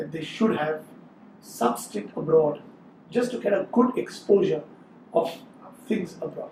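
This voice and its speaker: A high-pitched man at a fairly slow pace, with very wide pitch swings, long, frequent pauses and noticeable background noise. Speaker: gastroenterologist. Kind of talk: interview.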